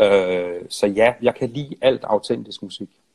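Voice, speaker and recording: A man on a very clean recording, silent in the background, with a dry, close sound and no echo. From Denmark, Funen (Nyborg). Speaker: songwriter and musician. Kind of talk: casual interview. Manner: halting.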